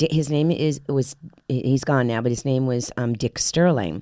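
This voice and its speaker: On a very clean recording with a silent background, a woman with an American accent talks at a moderate pace in a dark, mellow tone. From Miami, Florida. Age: 60s. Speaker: actress. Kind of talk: podcast interview. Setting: studio. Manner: halting.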